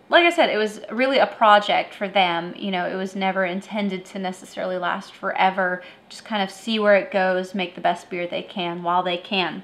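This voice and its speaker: The woman speaking keeps a fairly quick pace with hardly any pauses. Her intonation stays fairly even. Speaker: beer review show host. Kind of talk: review commentary. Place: home room.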